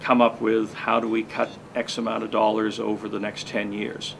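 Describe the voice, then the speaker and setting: A man at a moderate pace with monotone, flat intonation, amid noticeable background noise. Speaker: public speaker and political commentator. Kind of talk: political commentary.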